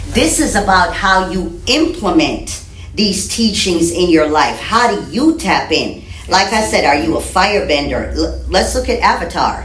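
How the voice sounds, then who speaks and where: A woman with a slight Jamaican accent speaks at a fairly slow pace in an animated tone, her pitch swinging very widely. Audible room echo and noticeable background noise fill the recording. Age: 50s. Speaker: spiritual teacher and metaphysician. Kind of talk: podcast interview.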